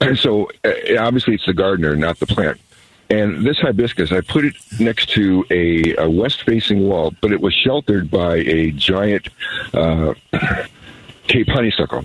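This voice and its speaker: This American-accented voice has lively intonation, a moderate pace and very even loudness. Noticeable background noise sits behind it. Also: man, fairly low pitch for a man. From Arizona (Scottsdale). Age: 70s. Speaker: caller. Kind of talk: call-in conversation. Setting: phone call. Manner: jokey, animated.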